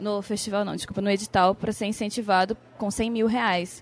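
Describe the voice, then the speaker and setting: Monotone and flat, a woman's medium-pitched voice moves at a fairly quick pace. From Brazil, Amapá. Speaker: film director and illustrator. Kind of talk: interview.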